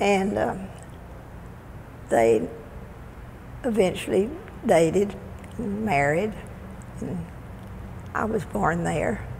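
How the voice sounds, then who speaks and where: In a Texan accent, a woman with a fairly low pitch talks very slowly, with very wide pitch swings, long, frequent pauses and audible room echo. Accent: Texan Southern US. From Texas (Waco). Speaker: oral history interviewee. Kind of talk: oral history reminiscence. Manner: halting.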